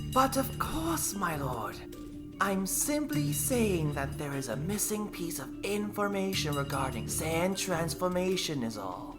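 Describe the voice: Over loud music in the background comes a shrill, put-on character voice. It sits at a middle pitch and moves at a fairly slow pace.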